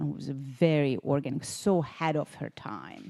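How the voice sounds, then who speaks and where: A woman's very deep, low voice with a Hungarian accent, fairly even intonation and a dark, mellow tone. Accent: Hungarian accent, noticeable. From Hungary. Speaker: spa owner and podcast host. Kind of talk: casual chat.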